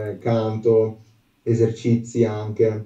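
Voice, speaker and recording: A dark, mellow, somewhat breathy voice carries audible room echo over a quiet background. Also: man. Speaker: aspiring singer; guest. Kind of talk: interview answer. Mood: earnest, a bit shy. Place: home room.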